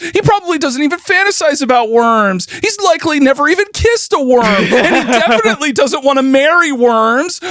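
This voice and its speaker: A put-on character voice comes out whiny and high-pitched. Light background noise sits behind it. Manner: whiny, agitated, annoying.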